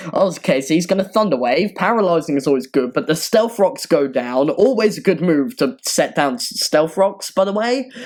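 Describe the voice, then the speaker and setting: Against noticeable background noise, a high-pitched man speaks with very wide pitch swings. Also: moderate pace. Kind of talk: casual gaming commentary. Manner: hesitant, rambling.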